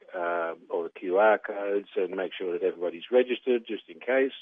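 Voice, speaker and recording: The speaker has a Dutch accent and keeps a moderate pace. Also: man. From Netherlands. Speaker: race club representative. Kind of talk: radio interview. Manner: hesitant, many fillers.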